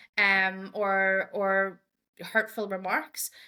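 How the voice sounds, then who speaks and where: With an Irish accent, a woman speaks at a medium pitch in a bright, sharp tone. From Ireland. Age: 30s. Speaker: diversity and inclusion advocate. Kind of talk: podcast interview. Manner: halting, with frequent repetitions and fillers.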